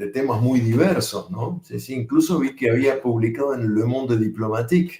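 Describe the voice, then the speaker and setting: A man with a Rioplatense accent talks at a medium pitch with ordinary pitch variation. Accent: Rioplatense accent when speaking French. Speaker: poet and translator. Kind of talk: panel discussion. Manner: hesitant, many fillers.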